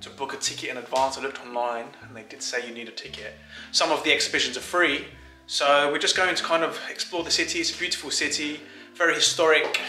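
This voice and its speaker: A man speaks with big swings in loudness and audible room echo. Faint music plays in the background. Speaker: vlogger husband. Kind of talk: casual vlog chat. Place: home room. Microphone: phone near.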